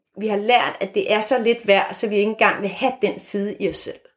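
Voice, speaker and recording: In a plain, everyday voice, a woman with a fairly high pitch speaks at a moderate pace with fairly even intonation. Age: 50s. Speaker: author and former marketing executive. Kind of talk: interview conversation.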